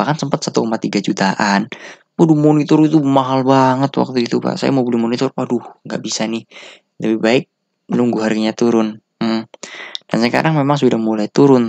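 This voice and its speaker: Dry and close with no echo, a normal speaking voice moves at a moderate pace with ordinary pitch variation. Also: man, medium pitch for a man. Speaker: tech reviewer. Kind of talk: casual product review, unscripted. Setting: home recording with camera. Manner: casual, rambling, informal slang.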